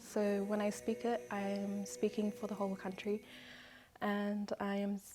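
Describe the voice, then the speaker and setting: Music plays in the background as a woman speaks. Her medium-pitched voice moves at a fairly slow pace with ordinary pitch variation. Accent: New Zealand. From New Zealand. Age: 20s. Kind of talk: interview answer.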